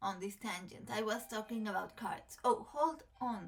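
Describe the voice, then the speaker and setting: A woman with a Mexican accent speaks at a fairly slow pace. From Mexico. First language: Spanish. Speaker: tarot content creator. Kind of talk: casual chat to camera. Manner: halting, many fillers.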